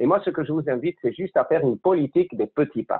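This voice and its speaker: The speaker has a Spanish accent and talks at a fairly quick pace. The pitch swings very widely. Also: man. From Spain. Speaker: conference speaker, consultant. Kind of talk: online lecture. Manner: fast.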